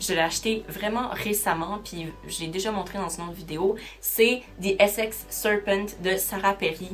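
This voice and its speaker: A woman in a Quebec accent, medium in pitch, at a fairly slow pace with fairly even intonation and big swings in loudness, music in the background. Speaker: booktuber. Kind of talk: casual vlog talk.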